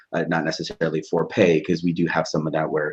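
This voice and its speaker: A man talks at a very fast pace with an American accent. His pitch is very deep and low. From Southern California. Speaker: instructional technology specialist. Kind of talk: podcast interview. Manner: halting, with frequent restarts.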